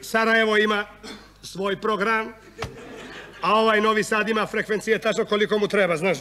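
Over noticeable background noise, a man with a high pitch uses a raised, projected voice at a moderate pace, his loudness very even, his tone animated yet deadpan, with long, frequent pauses. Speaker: monodrama actor, satirical comedian. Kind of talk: satirical monodrama on stage, comic political monologue. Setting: stage with audience. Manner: animated, sarcastic, deadpan punchlines; switches between voices and dialects, conversational rhythm.

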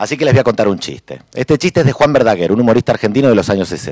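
A man rattles along at a very fast pace with vocal fry, recorded dry with no echo over a quiet background. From Argentina, Buenos Aires. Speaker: cartoonist and humorist; panelist. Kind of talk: panel talk. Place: hall. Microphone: podium.

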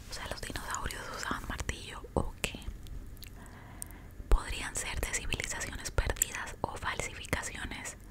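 Whispering in a playful tone, a woman speaks at a fairly slow pace with long, frequent pauses. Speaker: ASMR content creator. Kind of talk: casual ASMR talk to camera, eating and storytelling. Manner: soft, whispered, playful and chatty. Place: home room. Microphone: studio mic.

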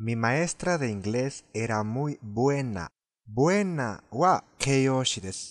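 A man speaks at a very slow pace with a non-native accent and a medium pitch. His intonation is lively, with light background noise behind him. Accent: foreign accent in Japanese. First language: Spanish (speaking Japanese). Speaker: language teacher. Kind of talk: tutorial. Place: car. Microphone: phone near.

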